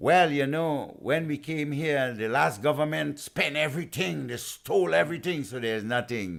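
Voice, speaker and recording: A man with a Trinidadian accent speaks at a moderate pace in a fairly high pitch, with lively intonation and hardly any pauses. The recording is very clean, with a silent background. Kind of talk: podcast interview. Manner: impassioned.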